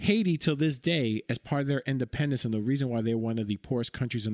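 A man's fairly quick speech with an American accent and ordinary pitch variation, in a very clean recording with a silent background and a dry, close sound with no echo. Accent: New York, Dominican American. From New York City, Washington Heights. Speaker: academic researcher. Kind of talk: interview. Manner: halting, many fillers.

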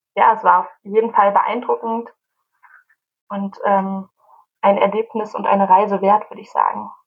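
A woman talks at a moderate pace, leaving long, frequent pauses. Her loudness swings widely. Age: 20s. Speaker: youth association leader and student. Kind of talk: casual chat.

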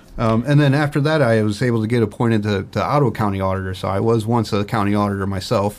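With a Midwestern American accent, the speaker goes at a very fast pace with ordinary pitch variation. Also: man, fairly low pitch for a man. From northern Ohio, Port Clinton. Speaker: county tax and finance director. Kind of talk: interview.

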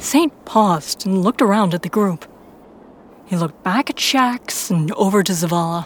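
A woman at medium pitch and a moderate pace, lively in intonation, in a dry, close sound without echo. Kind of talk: fiction audiobook narration, first-person Guardian narrator. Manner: measured storyteller pacing, dramatic and tense.

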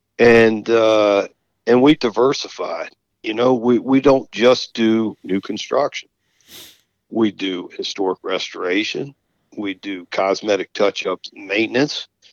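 With an American accent, a man speaks at a fairly slow pace in a dry, close sound with no echo. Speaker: flooring business owner. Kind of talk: interview conversation.

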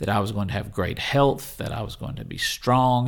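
Speaking with a Southern US accent, a man keeps a fairly quick pace. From Mississippi, US South. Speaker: pastor. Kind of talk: interview.

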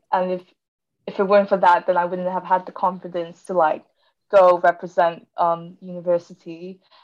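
A woman with a British accent speaks at a moderate pace and medium pitch in a monotone, flat intonation. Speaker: engineering graduate student. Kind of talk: casual interview.

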